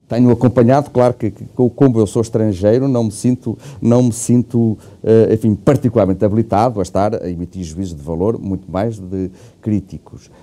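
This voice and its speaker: With a dark, mellow tone, a man speaks at a moderate pace in a medium pitch with ordinary pitch variation. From Portugal. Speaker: law professor. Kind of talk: interview. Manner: hesitant, many fillers; formal.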